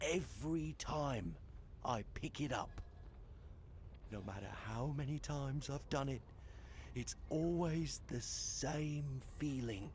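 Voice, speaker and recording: A put-on character voice at a low-to-middle pitch moves at a fairly slow pace with long, frequent pauses. Clear background noise is audible behind it. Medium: video game. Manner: rambling, haunted.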